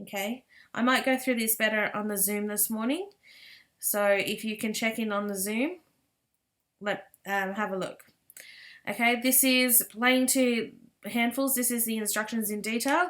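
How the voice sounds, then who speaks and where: A woman's fairly high voice at a moderate pace, with ordinary pitch variation and long, frequent pauses. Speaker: primary school teacher. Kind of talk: recorded lesson instructions for pupils.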